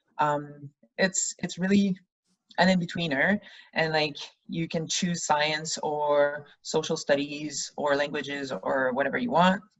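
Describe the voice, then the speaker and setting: A woman with a Quebec accent and a very deep, low pitch, at a fairly slow pace with ordinary pitch variation. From Quebec, Canada. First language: French. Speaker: rugby player. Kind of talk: interview.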